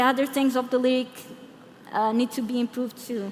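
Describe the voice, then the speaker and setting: High-pitched for a woman, this speaker talks with a Portuguese accent. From Portugal (Lisbon). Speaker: product designer and conference speaker. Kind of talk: conference Q&A answer. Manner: hesitant, many fillers.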